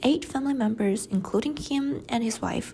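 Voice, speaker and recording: Lively intonation marks a woman's high-pitched voice with a Chinese accent. She speaks at a fairly slow pace. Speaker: student. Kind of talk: class presentation.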